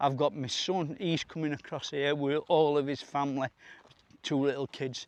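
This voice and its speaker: A man with a Yorkshire accent, fairly high-pitched for a man, flat monotone delivery at a moderate pace, dry close sound without echo. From Yorkshire, northern England. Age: 60s. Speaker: vlogger. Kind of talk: casual vlog monologue. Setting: outdoors. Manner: halting.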